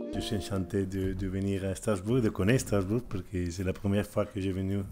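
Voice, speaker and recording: Music plays in the background as a man speaks at a fairly low pitch with fairly even intonation. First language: Spanish or Catalan (speaking French). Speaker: urban planning agency director. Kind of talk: lecture. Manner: halting.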